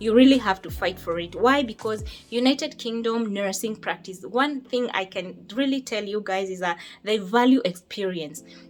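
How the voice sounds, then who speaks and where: The woman's voice sits at a fairly high pitch with ordinary pitch variation. She speaks at a moderate pace. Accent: Kenyan. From Kenya. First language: Kikuyu. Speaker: nurse. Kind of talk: casual chat.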